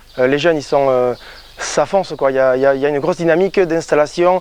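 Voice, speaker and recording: A man at a very fast pace, fairly high in pitch with fairly even intonation, over noticeable background noise. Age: 20s. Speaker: sheep farmer. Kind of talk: interview testimony. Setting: on the farm. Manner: hesitant, many fillers.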